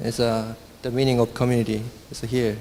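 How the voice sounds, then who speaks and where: A man with a Korean accent, fairly slow and monotone, with flat intonation. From South Korea. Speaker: software engineer and conference speaker. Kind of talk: conference talk. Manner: halting.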